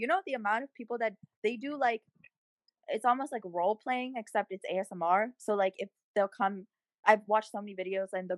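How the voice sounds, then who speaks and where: With an animated tone and ordinary pitch variation, a woman talks at a fairly quick pace in a dry, close sound with no echo. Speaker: podcast co-host. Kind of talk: casual chat.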